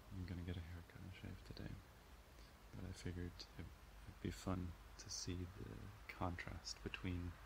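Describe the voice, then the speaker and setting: A man speaks at a moderate pace with a very deep, low pitch and vocal fry, leaving long, frequent pauses over noticeable background noise. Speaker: student vlogger. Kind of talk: casual vlog chat. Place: garden. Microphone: phone near.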